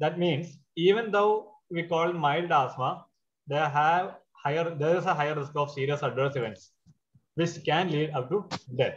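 Ordinary pitch variation accompanies a fairly slow delivery. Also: man. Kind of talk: lecture. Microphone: webcam.

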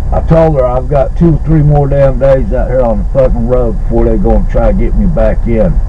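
Noticeable background noise accompanies a man whose speech moves at a moderate pace. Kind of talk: angry phone call. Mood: angry, swearing. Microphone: phone near.

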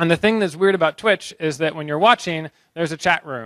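At a fairly quick pace, a man with an American accent speaks in a fairly high, bright, sharp voice with ordinary pitch variation, in a dry sound with no echo and a quiet background. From US Northeast, Boston. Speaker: researcher giving a conference talk; conference speaker. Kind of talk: short conference talk. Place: hall. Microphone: handheld.

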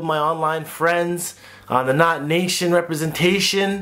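Speaking at a moderate pace, a man keeps a high pitch with fairly even intonation. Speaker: vlogger. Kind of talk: casual vlog chat. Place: home room. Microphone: phone near.

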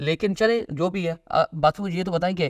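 Here a man speaks in a high voice. His pace is moderate and his pitch variation ordinary.

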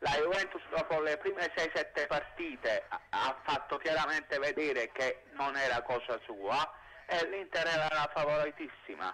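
The speech moves at a fairly slow pace with very even loudness. Light background noise can be heard. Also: man. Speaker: caller. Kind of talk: phone-in opinion. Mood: animated football opinion. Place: street. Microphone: handheld.

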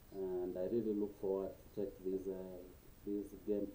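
A man with a fairly low pitch talks at a moderate pace, with audible room echo around him. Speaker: YouTuber. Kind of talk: casual vlog chat. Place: home room. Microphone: webcam.

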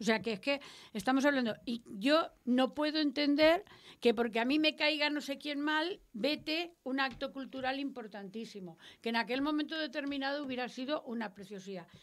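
A woman talks at a moderate pace in a high pitch. Her pitch varies in an ordinary way. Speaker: radio host. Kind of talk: panel discussion. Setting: radio studio. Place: studio. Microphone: studio mic.

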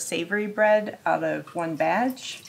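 Noticeable background noise sits behind a woman speaking with lively intonation. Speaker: home cook vlogger. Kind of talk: casual vlog tutorial. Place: kitchen.

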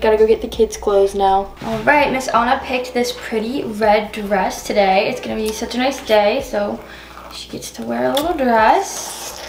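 Slightly mellow tone with ordinary pitch variation over faint background noise. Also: woman.

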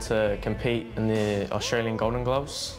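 Clear music plays in the background as a man speaks in a monotone, flat intonation. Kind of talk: interview answer. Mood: modest, quietly confident. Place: gym.

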